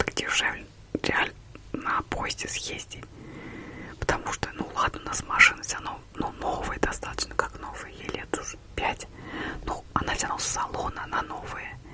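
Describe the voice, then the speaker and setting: A whispering woman at a moderate pace, with long, frequent pauses and noticeable background noise. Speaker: ASMR creator. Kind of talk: casual chatty monologue to camera about a trip. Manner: chatty, gossipy, quiet.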